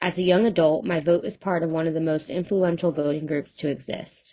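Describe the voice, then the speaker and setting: A woman with an American accent and a normal speaking voice, fairly low in pitch, with fairly even intonation and a fairly quick pace. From New Jersey. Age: 20s. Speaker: college student playing a testifying voter. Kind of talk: mock congressional testimony, prepared statement. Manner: formal.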